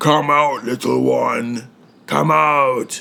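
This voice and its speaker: A man does a put-on character voice. His pitch sits at a medium level. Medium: read story. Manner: menacing, slow.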